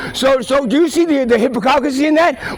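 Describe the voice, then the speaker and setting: In a New York accent, a man speaks at an extremely high pitch with an animated tone. His pitch varies in an ordinary way, over noticeable background noise. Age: 50s. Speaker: street videographer. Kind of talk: heated debate. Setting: outdoors. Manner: repetitive stammering.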